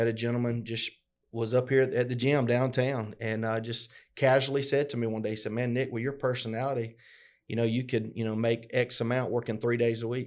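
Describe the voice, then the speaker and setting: A man with a Southern US accent speaks at a fairly quick pace with medium pitch and monotone, flat intonation. The recording is very clean, the background silent. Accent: Southern US (Georgia). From US South (LaGrange, Georgia). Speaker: podcast co-host, business owner. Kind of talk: casual conversational podcast. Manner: halting, many fillers and repetitions.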